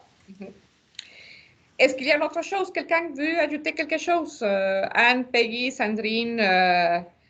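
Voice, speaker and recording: This voice has a non-native accent and moves at a fairly slow pace. Long, frequent pauses break up very wide pitch swings. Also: woman, high pitch for a woman. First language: not French (speaking French). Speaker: association founder leading a launch webinar. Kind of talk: webinar closing remarks. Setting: video call webinar. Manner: hesitant, many fillers.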